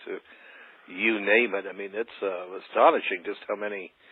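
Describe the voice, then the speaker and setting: Pitched fairly low, a man's voice comes through. He talks at a fairly quick pace. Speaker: interview show host. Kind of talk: interview.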